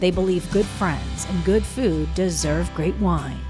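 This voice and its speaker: A woman at a fairly slow pace over background music. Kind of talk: TV news feature narration.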